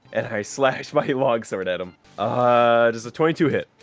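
A man's medium-pitched voice over background music, with ordinary pitch variation at a moderate pace. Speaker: tabletop roleplaying game player. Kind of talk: casual, profane.

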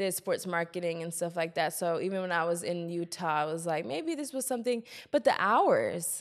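In a plain, everyday voice, a woman with an American accent talks at a moderate pace with hardly any pauses, fairly low pitch and lively intonation, on a very clean recording with a silent background. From Columbia, South Carolina, US South. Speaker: podcast host. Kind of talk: casual interview.

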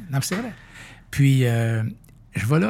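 Somewhat breathy, a man talks at a moderate pace and medium pitch with lively intonation. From Quebec, near Saint-Hyacinthe. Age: 60s. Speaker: company founder and president. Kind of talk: interview conversation.

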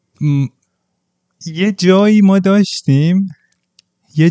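A man talking at a fairly slow pace. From provincial Iran. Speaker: podcast guest. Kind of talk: casual chat.

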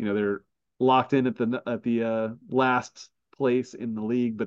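A man talks at a moderate pace with ordinary pitch variation in a plain, everyday voice. The sound is dry and close, with no echo. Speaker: podcast host. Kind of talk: casual sports chat.

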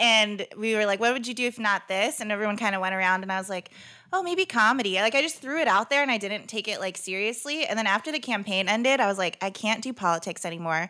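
With an American accent, a woman speaks very fast with hardly any pauses, her fairly high voice bright and sharp and her pitch varying in an ordinary way. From Northern California, Stockton. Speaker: stand-up comedian, former political organizer. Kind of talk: casual chat.

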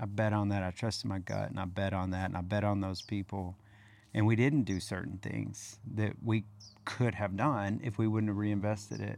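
A man's fairly low-pitched, ordinary speaking voice, with fairly even intonation and a moderate pace. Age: 40s. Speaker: real estate podcast host. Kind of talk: casual chat. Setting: outdoors.

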